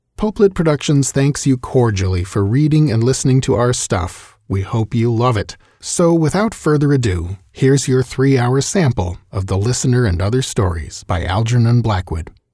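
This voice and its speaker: In a very clean recording with a silent background, a man speaks at a moderate pace with hardly any pauses, his medium-pitched, somewhat breathy voice dark and mellow in tone, with lively intonation. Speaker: audiobook narrator.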